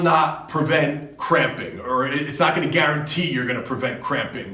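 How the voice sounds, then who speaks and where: A man with a New Jersey accent speaks with ordinary pitch variation amid noticeable background noise. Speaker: fitness coach. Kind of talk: advice monologue. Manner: casual, conversational.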